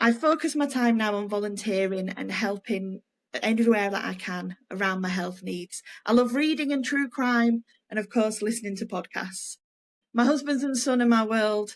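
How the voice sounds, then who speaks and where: Here is a woman talking in a Yorkshire accent. Her pitch is fairly high. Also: ordinary pitch variation, moderate pace. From Yorkshire, Leeds. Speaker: podcast co-host, former nurse. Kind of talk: casual podcast chat.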